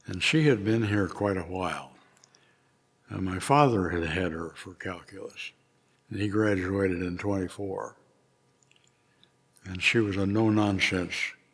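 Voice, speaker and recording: A man with an American accent, fairly low in pitch, at a fairly slow pace with fairly even intonation. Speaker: retired engineering professor. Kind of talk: oral history interview. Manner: hesitant, frequent fillers.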